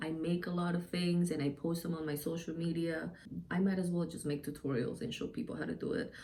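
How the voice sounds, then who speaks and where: A woman's dark, mellow tone in audible room echo. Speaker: DIY and beauty YouTuber. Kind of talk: casual channel intro to camera. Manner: loud; hesitant, many filler ums.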